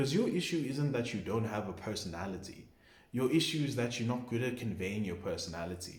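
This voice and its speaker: A man at medium pitch and a fairly quick pace, ordinary pitch variation, and audible room echo. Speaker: vlogger giving social advice. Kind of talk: casual monologue vlog. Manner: quiet, muttering; casual, filler-heavy.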